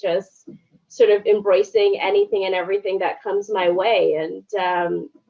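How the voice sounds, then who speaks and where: A woman with a strong Canadian accent talks at a fairly slow pace with lively intonation. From Canada, Toronto (Scarborough). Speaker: journalist. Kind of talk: casual interview chat.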